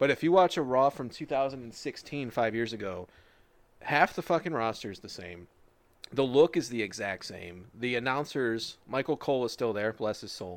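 This very clean recording with a silent background has a man with an unremarkable speaking voice talking at a moderate pace and a medium pitch. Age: 20s. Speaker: wrestling podcast host. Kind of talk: casual chat.

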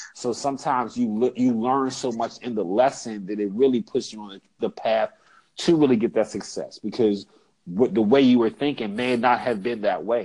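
A man with an American accent speaks in an unremarkable speaking voice at a moderate pace and medium pitch, with ordinary pitch variation and a quiet background. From Pittsburgh area, Pennsylvania. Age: 40s. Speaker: former sales and insurance manager. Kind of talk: casual interview.

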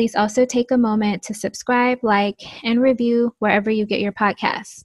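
Soft-spoken and fairly high in pitch, a woman talks at a moderate pace in a flat monotone, recorded dry and close with no echo against a quiet background. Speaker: podcast host. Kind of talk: casual chat.

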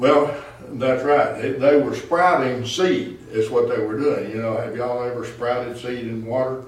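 With audible room echo and noticeable background noise, a man talks at a medium pitch and moderate pace with ordinary pitch variation. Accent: Southern US. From Arkansas. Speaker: pastor. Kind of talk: Bible study teaching. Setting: church.

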